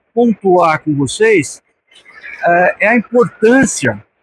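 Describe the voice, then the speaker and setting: With lively intonation and a high pitch, a man speaks in a dry, close sound that has no echo. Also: long, frequent pauses. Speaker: sales director giving a talk. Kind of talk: conference talk. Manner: casual, with hesitations and repetitions.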